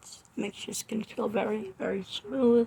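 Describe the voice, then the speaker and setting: A woman talks at a fairly slow pace, somewhat breathy, with fairly even intonation. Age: 20s. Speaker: makeup artist, beauty vlogger. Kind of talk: makeup tutorial and product review. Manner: casual, chatty.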